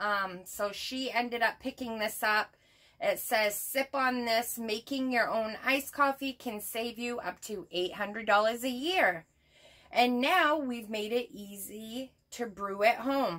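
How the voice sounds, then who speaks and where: A woman with a bright, sharp tone, ordinary pitch variation and a very slow pace, over a quiet background. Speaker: haul vlogger. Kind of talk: casual vlog chat. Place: home room.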